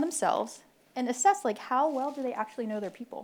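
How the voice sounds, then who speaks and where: A woman with a Philadelphia accent talks very fast at a fairly high pitch, her intonation lively. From Philadelphia, US. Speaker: military officer, panelist. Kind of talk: panel talk. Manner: animated, conversational.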